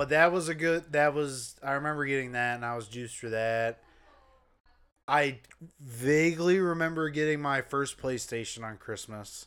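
With a plain, everyday voice, a man speaks fairly high at a moderate pace and with ordinary pitch variation, on a very clean recording with a silent background. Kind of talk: casual chat. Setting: home living room recording. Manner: casual, joking.

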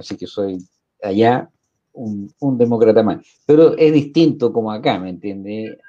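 A man speaks at a fairly slow pace in a medium pitch with a dark, mellow tone. His pitch varies in an ordinary way while his loudness swings widely. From Chile (born in New York, partly raised in Cairo). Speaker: presidential candidate. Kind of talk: interview.

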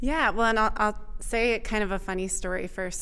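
A woman with an American accent at a medium pitch, bright, sharp tone, and fairly even intonation, plus audible room echo. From Vermont, US. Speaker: state economic development director. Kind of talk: interview. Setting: recorded at a conference.

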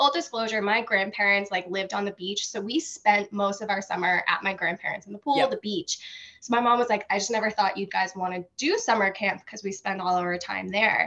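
A woman with an American accent speaks in a bright, sharp tone at a fairly quick pace with hardly any pauses. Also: medium pitch for a woman, ordinary pitch variation. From Massachusetts. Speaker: former camp counselor. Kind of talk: casual chat.

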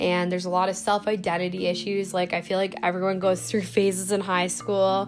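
A woman talks at a fairly quick pace with hardly any pauses. Her loudness stays very even over music in the background. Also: medium pitch for a woman, fairly even intonation. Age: 20s. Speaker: podcast host. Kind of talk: casual solo chat. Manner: casual with many fillers.

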